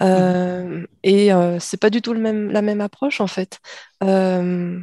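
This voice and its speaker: A woman speaks at a medium pitch in a dark, mellow tone with monotone, flat intonation. The sound is dry and close with no echo, and the background is quiet. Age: 50s. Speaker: science fiction author. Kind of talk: interview.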